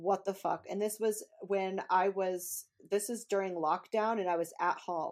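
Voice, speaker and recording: Speaking with a plain, everyday voice, a woman keeps a medium pitch, a fairly slow pace and fairly even intonation. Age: 20s. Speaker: podcast co-host. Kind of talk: casual chat.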